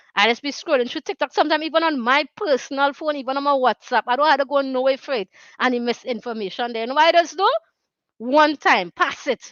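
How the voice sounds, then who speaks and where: This woman talks at a very fast pace with a Trinidadian accent. Her pitch is high. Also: ordinary pitch variation. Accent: Trinidad and Tobago Creole English. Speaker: talk show host. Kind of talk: casual talk show monologue. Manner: earnest, conversational.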